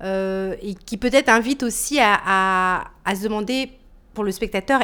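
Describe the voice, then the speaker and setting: Her words come out very slowly. The woman's voice sits fairly high. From Martinique. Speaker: dancer and choreographer. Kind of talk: interview. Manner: halting.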